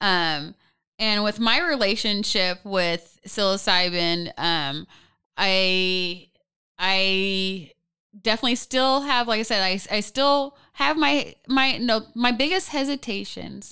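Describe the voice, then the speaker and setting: In a very clean recording with a silent background, a woman speaks very slowly with an American accent and a bright, sharp tone. Her medium pitch carries lively intonation at a very even loudness. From Portland, Oregon (US Pacific Northwest). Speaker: podcast co-host and mushroom expert. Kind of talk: casual interview chat. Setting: studio.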